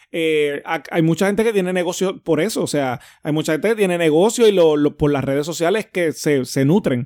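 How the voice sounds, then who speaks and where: On a very clean recording with a silent background, a man with a high voice speaks at a fairly quick pace, with hardly any pauses and ordinary pitch variation. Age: 30s. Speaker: podcast co-host. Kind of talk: casual chat.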